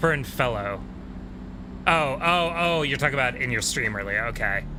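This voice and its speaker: With audible room echo around him, a man at medium pitch speaks at a moderate pace with lively intonation. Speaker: video game streamer. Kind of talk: casual live stream chat. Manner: soft-spoken at times.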